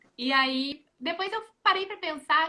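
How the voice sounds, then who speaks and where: Her raised, projected voice is high-pitched with a bright, sharp tone, as the woman speaks at a fairly slow pace with lively intonation. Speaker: former exchange student. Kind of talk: casual chat.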